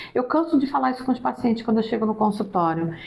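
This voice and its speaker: A woman speaks in an ordinary speaking voice. Her pitch is fairly high, and her intonation is lively. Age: 60s. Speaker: psychologist. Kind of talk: interview.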